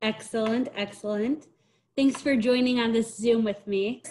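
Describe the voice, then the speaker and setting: A woman with a fairly high pitch at a moderate pace, over a quiet background. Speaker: interviewer. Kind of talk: interview questions. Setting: video call. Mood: warm, friendly. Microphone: video call.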